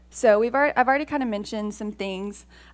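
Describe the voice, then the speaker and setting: The woman's voice has a medium pitch and ordinary pitch variation. It is a very clean recording, with a silent background. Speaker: campus ministry worker. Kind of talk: devotional talk. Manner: halting, many fillers.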